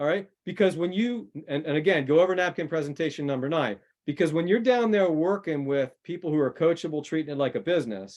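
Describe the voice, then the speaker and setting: A man with an unremarkable speaking voice, fairly high pitch, lively intonation and a moderate pace. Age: 60s. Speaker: network marketing coach. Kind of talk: interview answer. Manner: repetitive, conversational with fillers.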